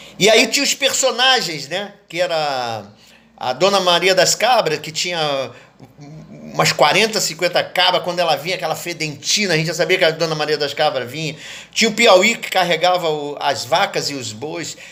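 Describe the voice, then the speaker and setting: This man speaks at a moderate pace with high pitch, lively intonation and a bright, sharp tone. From Brazil, Rio de Janeiro (Leopoldina suburbs). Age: 70s. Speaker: poet and cultural activist. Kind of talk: interview monologue, reminiscing.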